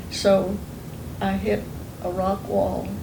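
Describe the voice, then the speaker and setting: Speaking in an Oklahoma accent, a woman is heard with audible room echo and noticeable background noise. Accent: Oklahoma Southern US. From Oklahoma, US. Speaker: oral history interviewee. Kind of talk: oral history interview.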